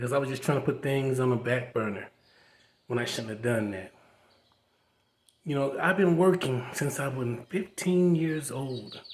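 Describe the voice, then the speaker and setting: Somewhat breathy, a man at medium pitch talks at a moderate pace with ordinary pitch variation and long, frequent pauses. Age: 60s. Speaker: vlogger. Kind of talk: personal testimony. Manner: casual conversational.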